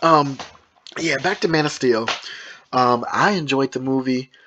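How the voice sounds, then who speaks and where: A man with an American accent talks at a moderate pace, his medium-pitched voice keeping a fairly even intonation. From Michigan, US. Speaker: movie reviewer. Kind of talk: casual monologue ranking movies. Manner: halting, stumbling over words.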